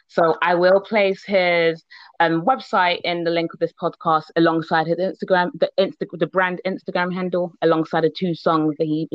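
A woman in an ordinary speaking voice at a moderate pace. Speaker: podcast host. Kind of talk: casual interview chat. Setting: video call.

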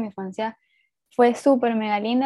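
With a Venezuelan accent, a woman speaks fairly quickly in a fairly high, somewhat breathy voice. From Venezuela, Puerto Ordaz. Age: 20s. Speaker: writer. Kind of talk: casual interview.

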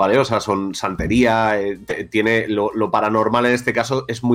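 A man's ordinary speaking voice, medium in pitch, with fairly even intonation. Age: 40s. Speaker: podcast host. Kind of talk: casual chat. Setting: studio.

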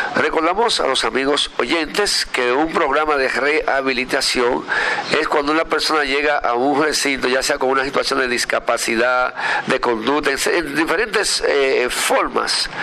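A man talks with a fairly high pitch and ordinary pitch variation. Noticeable background noise is present. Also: moderate pace, very even loudness. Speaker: radio host. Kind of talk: radio interview. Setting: outdoor terrace at a foundation, remote broadcast.

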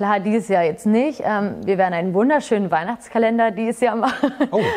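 In a plain, everyday voice, a woman talks at a fairly quick pace and a fairly high pitch with ordinary pitch variation. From Hameln, Lower Saxony, Germany. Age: 20s. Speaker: fitness studio employee and entrepreneur. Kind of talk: casual interview. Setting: fitness studio.

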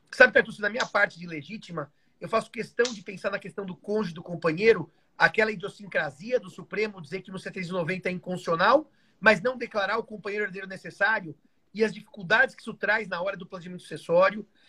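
A man talks at a very fast pace in a raised, projected voice, pitched high for a man. His tone is bright and sharp, the loudness swings widely, and the intonation stays fairly even. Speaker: law professor. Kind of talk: casual chat. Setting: live video stream.

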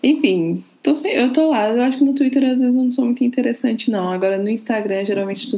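A woman's voice shows ordinary pitch variation, with noticeable background noise behind it. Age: 20s. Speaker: podcast guest, R&B and TV series fan. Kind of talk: casual chat.

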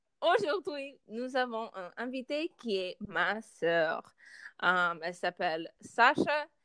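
Very slowly, a woman with a fairly high pitch and a bright, sharp tone speaks with very wide pitch swings, the sound dry and close with no echo. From United States. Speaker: podcast host, student. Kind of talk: casual chat. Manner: halting, many hesitations.

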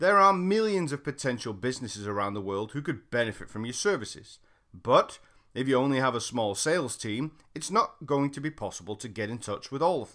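A man's medium-pitched voice with a British accent and a bright, sharp tone, very wide pitch swings and a fairly quick pace, on a very clean recording with a silent background. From Britain. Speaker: sales trainer. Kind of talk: reading aloud.

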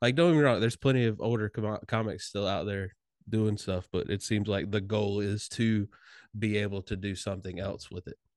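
An unremarkable speaking voice: a man with fairly low pitch and ordinary pitch variation talks at a fairly quick pace, recorded with a dry, close sound with no echo over a quiet background. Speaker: comedian and podcast host. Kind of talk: casual chat.

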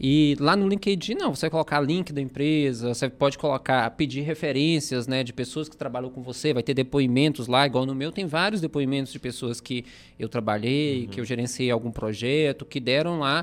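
A man talks in a plain, everyday voice with a fairly high pitch. He leaves hardly any pauses. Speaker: podcast co-host. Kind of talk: casual chat. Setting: studio.

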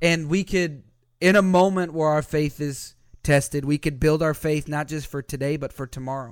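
At a moderate pace and fairly high pitch, a man with a normal speaking voice talks with fairly even intonation in a very clean recording with a silent background. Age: 20s. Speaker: pastor. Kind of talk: sermon; casual chat.

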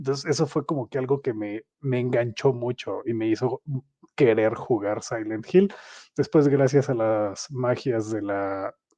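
A man with a dark, mellow tone speaks in a Mexican accent against a quiet background. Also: medium pitch for a man, ordinary pitch variation, fairly slow pace, dry, close sound with no echo. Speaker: podcast host. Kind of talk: casual chat. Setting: live stream.

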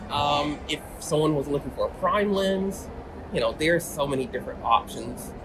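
Against noticeable background noise, a man with a fairly high voice talks at a moderate pace with ordinary pitch variation. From Atlanta, Georgia. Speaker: professional photographer. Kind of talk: interview. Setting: in person.

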